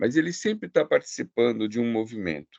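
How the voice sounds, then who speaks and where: The speaker is a man. He talks at a moderate pace. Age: 60s. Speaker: art gallerist. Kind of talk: online presentation. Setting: video call. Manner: halting.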